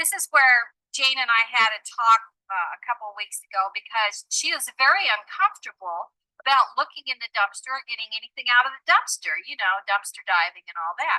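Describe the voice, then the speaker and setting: A woman raises and projects her voice, her tone bright and sharp and her intonation lively. She speaks at a moderate pace with a dry, close sound and no echo. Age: 60s. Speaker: interviewee in documentary video. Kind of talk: casual on-camera interview.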